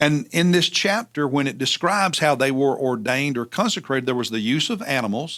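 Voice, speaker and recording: A man with a Southern US accent, fairly high pitch and lively intonation, at a fairly quick pace with hardly any pauses, in a very clean recording with a silent background. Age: 60s. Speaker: pastor. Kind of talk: Bible teaching. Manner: halting, with many fillers.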